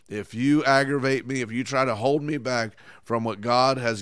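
The recording is very clean, with a silent background. A man speaks at a moderate pace in an animated tone. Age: 50s. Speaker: pastor. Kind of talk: sermon.

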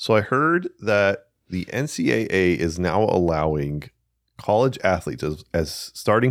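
A man with an American accent at a fairly slow pace, in a very clean recording with a silent background. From US. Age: 30s. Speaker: podcast host. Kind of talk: casual chat. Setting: studio.

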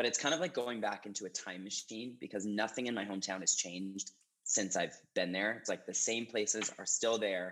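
A man with an American accent and a normal speaking voice talks at a fairly quick pace, his fairly low pitch showing ordinary variation. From US Northeast, small-town Maine. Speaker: personal trainer and fitness instructor. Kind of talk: casual interview.

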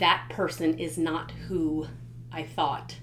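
Audible room echo surrounds a woman speaking at a very deep, low pitch. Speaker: podcast host and author. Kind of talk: solo monologue podcast. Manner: hesitant with many fillers.

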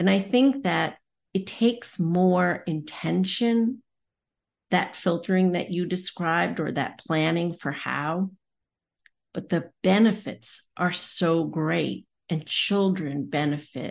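A woman's fairly low voice at a very slow pace, ordinary in pitch variation, against a quiet background. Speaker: podcast host. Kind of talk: podcast conversation, moderated discussion.

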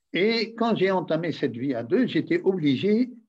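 A man talks at a fairly slow pace while his pitch swings very widely. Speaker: retired diplomat. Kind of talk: interview. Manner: halting.

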